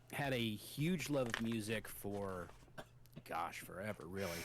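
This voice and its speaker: A man at a very slow pace, with ordinary pitch variation and audible room echo. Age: 50s. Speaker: guitarist and musician. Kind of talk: casual chat. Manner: halting, frequent fillers and repetitions.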